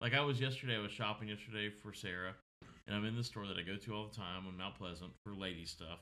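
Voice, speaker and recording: Talking at a very fast pace, a man with a Southern US accent has a fairly low pitch. His tone is bright and sharp, and his intonation is fairly even. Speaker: podcast co-host. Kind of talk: casual chat. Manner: loud.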